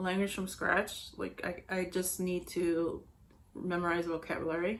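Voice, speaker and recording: A woman with a Spanish accent talks at a moderate pace. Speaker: knitting podcaster. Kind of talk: casual chat. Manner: halting, many fillers.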